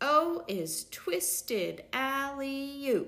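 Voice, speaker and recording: In an animated, playful tone, a woman speaks at a high pitch with very wide pitch swings. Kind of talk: bedtime story reading aloud. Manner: sing-song rhythmic, playful; animated, expressive with sound effects.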